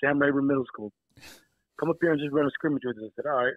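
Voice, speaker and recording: A man with an American accent. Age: 30s. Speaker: teacher and basketball coach. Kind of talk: casual chat. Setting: phone call.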